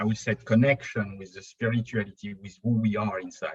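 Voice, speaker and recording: This man's voice is somewhat breathy. His pitch sits in the medium range. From Europe. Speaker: spiritual YouTube channel co-founder. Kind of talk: podcast interview. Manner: halting.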